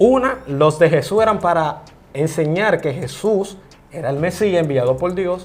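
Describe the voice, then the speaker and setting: Pitched high, a man speaks at a fairly slow pace with lively intonation. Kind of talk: interview, explaining the Bible.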